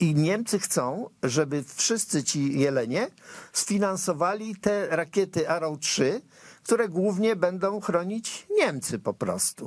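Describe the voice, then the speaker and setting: Against a quiet background, the voice moves very slowly with lively intonation. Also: man, high pitch for a man. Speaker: TV political commentator host. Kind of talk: political commentary chat. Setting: TV studio. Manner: indignant. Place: studio. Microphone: lapel.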